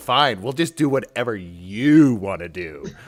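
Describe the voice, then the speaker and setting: A man's put-on character voice, fairly slow, with very wide pitch swings. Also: medium pitch for a man. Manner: resigned, exasperated.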